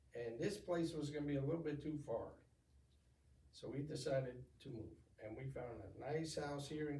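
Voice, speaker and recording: Audible room echo surrounds a man talking at a fairly quick pace. His pitch is fairly high and his intonation fairly even. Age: 60s. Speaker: retired navy veteran. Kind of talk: interview. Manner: halting.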